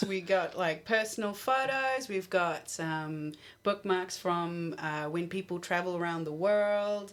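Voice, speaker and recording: Delivered at a fairly slow pace with hardly any pauses, this voice has ordinary pitch variation and a New Zealand accent. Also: woman, medium pitch for a woman. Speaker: library radio show co-host. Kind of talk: casual radio chat.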